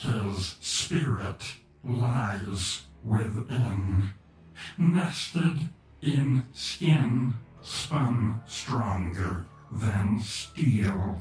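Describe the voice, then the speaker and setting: At a very slow pace, a man puts on a character voice in a medium pitch, with a slight echo around him. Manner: menacing, looming.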